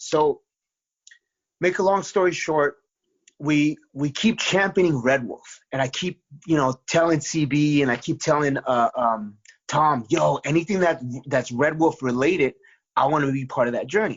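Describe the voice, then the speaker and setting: A man talks at a moderate pace in a normal speaking voice. His fairly high pitch shows ordinary variation. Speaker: comic book writer and musician. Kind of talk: interview. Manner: many fillers and repetitions.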